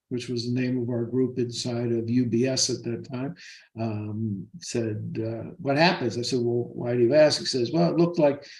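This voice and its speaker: Somewhat breathy, a man speaks at a medium pitch and a moderate pace with ordinary pitch variation. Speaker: financial advisor. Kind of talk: interview.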